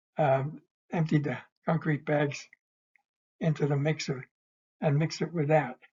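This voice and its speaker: Somewhat breathy and fairly high-pitched, a man speaks with fairly even intonation and long, frequent pauses. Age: 80s+. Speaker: retired draftsman, church volunteer builder. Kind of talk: informal slide-show presentation. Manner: slow, hesitant, many fillers.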